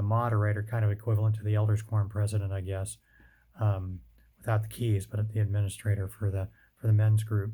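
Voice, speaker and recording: A man with an American accent speaks at a fairly quick pace in a fairly low, dark and mellow, somewhat breathy voice with monotone, flat intonation. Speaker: father telling his life story. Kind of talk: personal testimony. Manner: hesitant, many fillers.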